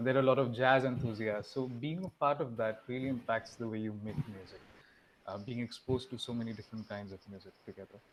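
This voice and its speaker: A man talks very fast with an Assam accent. His medium-pitched voice keeps fairly even intonation. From India, Assam (Guwahati). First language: Assamese. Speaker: musician. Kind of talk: panel discussion.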